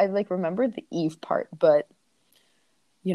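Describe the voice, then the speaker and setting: A woman with an American accent and an unremarkable speaking voice talks at a fairly quick pace and medium pitch, the sound dry and close with no echo. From Arizona. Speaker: college student. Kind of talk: casual chat.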